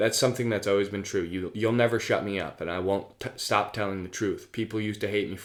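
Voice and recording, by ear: The reader uses a natural voice while reading aloud, and the intonation is fairly even.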